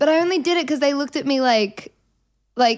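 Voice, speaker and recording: Animated in tone, a woman speaks in an Australian accent at a fairly quick pace with ordinary pitch variation. The background is quiet. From Australia, Melbourne. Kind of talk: casual chat.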